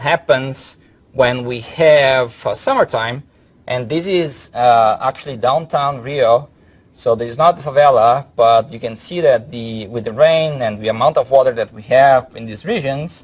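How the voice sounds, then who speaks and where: With a strong Brazilian accent, a man talks at a fairly slow pace in a medium pitch, his loudness swinging widely. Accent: heavy Brazilian Portuguese. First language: Portuguese. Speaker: professor. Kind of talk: lecture.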